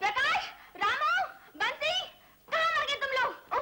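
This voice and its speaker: Shouting in a squeaky, put-on character voice at an extremely high pitch, a woman speaks at a moderate pace with lively intonation. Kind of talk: imperious. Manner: shouting angrily.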